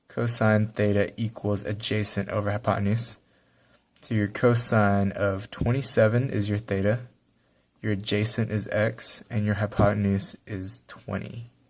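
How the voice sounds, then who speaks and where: A man's fairly low, monotone voice with flat intonation at a moderate pace, in a very clean recording with a silent background. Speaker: math teacher. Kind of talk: tutorial.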